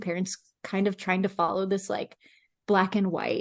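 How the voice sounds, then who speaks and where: A woman speaks at a moderate pace with a medium pitch. The sound is dry and close with no echo, over a quiet background. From Mexico, moved to the US as a child. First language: Spanish. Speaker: sports dietitian and podcast co-host. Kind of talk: casual chat.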